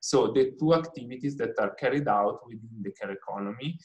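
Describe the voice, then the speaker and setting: With an Italian accent, a man speaks somewhat breathily at a moderate pace, his fairly high voice marked by lively intonation. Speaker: researcher presenting on the care economy. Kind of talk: lecture. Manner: halting, many fillers.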